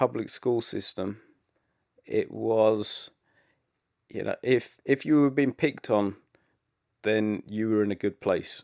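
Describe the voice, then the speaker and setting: Soft-spoken man at a very slow pace with long, frequent pauses, dry and close with no echo, on a very clean recording with a silent background. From England. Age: young. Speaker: rock musician. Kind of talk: interview answer.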